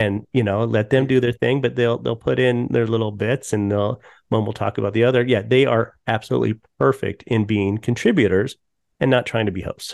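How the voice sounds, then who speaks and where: An unremarkable speaking voice with an American accent, at a fairly quick pace with ordinary pitch variation. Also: man, medium pitch for a man. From Colorado. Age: 50s. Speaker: podcast host and TV producer. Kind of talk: casual chat.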